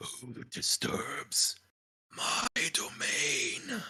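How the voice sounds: This man puts on a raspy character voice.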